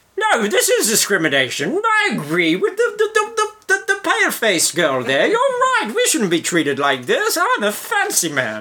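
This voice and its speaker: Someone puts on a character voice at an extremely high pitch with a pompous tone. The pace is moderate, with hardly any pauses. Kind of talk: fancy, posh. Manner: indignant, pompous.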